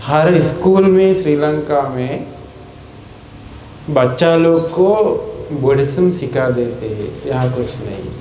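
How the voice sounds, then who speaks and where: This man speaks with a fairly high pitch, ordinary pitch variation and long, frequent pauses. Noticeable background noise and audible room echo fill the recording. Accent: Sri Lankan. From Sri Lanka. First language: Sinhala (speaking Hindi). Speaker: Buddhist monk. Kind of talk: sermon.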